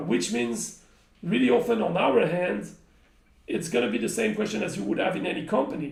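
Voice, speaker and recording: In a French accent, a man speaks at a high pitch with very wide pitch swings, and the room echo is audible. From France. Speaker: game company community manager. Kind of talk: live stream chat. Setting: live stream.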